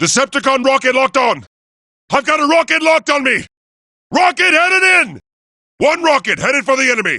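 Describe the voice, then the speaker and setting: Putting on a character voice with an extremely high pitch, a man talks at a fairly quick pace, broken by long, frequent pauses. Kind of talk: video game combat barks. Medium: video game. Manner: commanding, authoritative.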